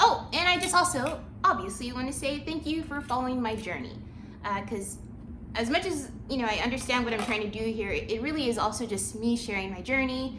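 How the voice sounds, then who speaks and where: Lively intonation comes at a fairly quick pace. Audible room echo and noticeable background noise surround the voice. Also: woman, high pitch for a woman. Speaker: channel owner and small business creator. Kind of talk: casual vlog update. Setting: at home with dog. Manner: rambling, filler-heavy.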